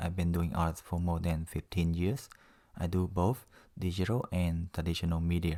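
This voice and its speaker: In a very clean recording with a silent background, a man with a very deep, low voice speaks with a strong non-native accent, a dark, mellow tone, and fairly even intonation. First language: not English. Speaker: self-taught artist, drawing tutor. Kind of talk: tutorial. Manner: casual, conversational with fillers.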